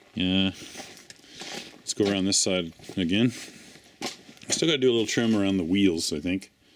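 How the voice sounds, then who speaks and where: Over noticeable background noise, a fairly low-pitched man talks at a moderate pace with ordinary pitch variation and long, frequent pauses. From Newfoundland, Canada. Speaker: blacksmith and tiny house builder. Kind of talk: casual workshop vlog walkthrough. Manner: casual, with many filler words.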